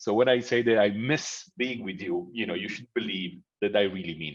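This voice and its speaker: A man at medium pitch with lively intonation, moderate pace and a quiet background. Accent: Italian. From Italy. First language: Italian. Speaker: professor and mediator. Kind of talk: lecture. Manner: halting.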